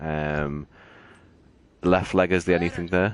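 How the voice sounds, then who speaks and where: A man with a very deep, low pitch and fairly even intonation, at a moderate pace over a quiet background. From northern England, Liverpool. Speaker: gaming channel host. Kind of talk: casual gaming chat. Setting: live stream with party chat. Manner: hesitant, many fillers.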